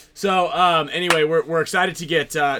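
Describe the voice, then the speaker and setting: Over noticeable background noise, a man speaks at a fairly quick pace and a fairly high pitch. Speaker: podcast host. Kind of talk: casual live chat show.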